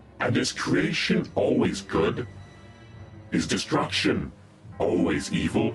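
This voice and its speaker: Over clear background noise, a man puts on a character voice and speaks at a fairly slow pace. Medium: machinima. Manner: cold, condescending, measured.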